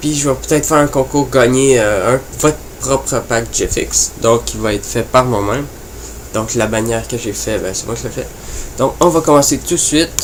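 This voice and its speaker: Noticeable background noise under a man's moderately paced speech. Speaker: gaming and graphics youtuber. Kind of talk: tutorial. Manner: halting, many fillers.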